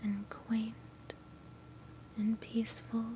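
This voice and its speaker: A soft-spoken voice with a soothing tone speaks at a very slow pace over light background noise. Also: woman. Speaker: ASMR creator. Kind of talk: soft-spoken ASMR chat. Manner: quiet soothing ASMR soft talk. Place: home room. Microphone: studio mic.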